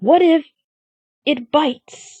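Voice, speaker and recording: A woman's raspy, put-on character voice at a high pitch. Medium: read story. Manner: nervous, stammering.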